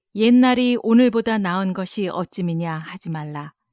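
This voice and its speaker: A very slow, dark, mellow voice with ordinary pitch variation, dry and close with no echo, on a very clean recording with a silent background. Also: woman. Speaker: announcer. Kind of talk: Bible reading. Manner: slow, measured.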